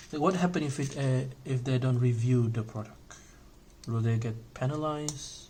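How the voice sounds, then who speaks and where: A man speaks with a non-native accent at a medium pitch and a moderate pace. His pitch varies in an ordinary way, and audible room echo fills the space. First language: not English. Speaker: Lego hobby YouTuber. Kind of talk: casual vlog monologue while building. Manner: halting, many fillers; casual, conversational.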